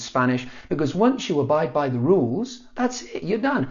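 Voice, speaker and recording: This man has a British accent and lively intonation. He talks at a fairly quick pace. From south eastern Spain. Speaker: Spanish teacher. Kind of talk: casual talk to camera. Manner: humorous, animated.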